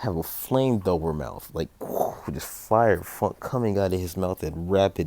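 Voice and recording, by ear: The speaker reads aloud in a natural voice.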